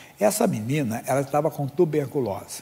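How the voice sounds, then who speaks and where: Lively in intonation, a man with a fairly high pitch talks at a fairly quick pace over noticeable background noise. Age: 60s. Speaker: pastor. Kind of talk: sermon.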